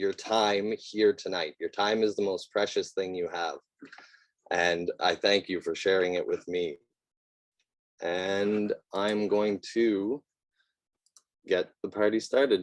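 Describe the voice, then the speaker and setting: With a Canadian accent, a man speaks very slowly at a fairly low pitch, his voice shaky and his intonation fairly even. He leaves long, frequent pauses, and the sound is dry and close with no echo. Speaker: eco-home designer. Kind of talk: presentation. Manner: shaky at the start.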